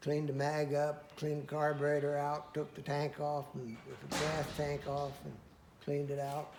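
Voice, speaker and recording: A somewhat breathy man with a fairly high pitch speaks at a fairly slow pace. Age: 80s+. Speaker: antique tractor collector. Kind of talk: interview answer.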